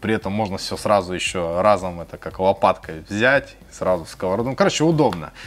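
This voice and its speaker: This man has an unremarkable speaking voice with a fairly low pitch. He keeps a moderate pace and ordinary pitch variation. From Khabarovsk, Russia. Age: 30s. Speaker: food and music vlogger. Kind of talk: casual Q&A to camera. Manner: friendly, conversational.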